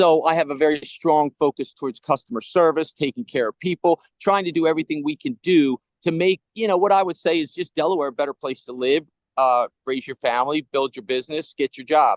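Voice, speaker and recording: In a normal speaking voice, someone talks at a fairly quick pace with ordinary pitch variation and a dry, close sound with no echo. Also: man, fairly high pitch for a man. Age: 60s. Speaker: politician. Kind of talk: interview.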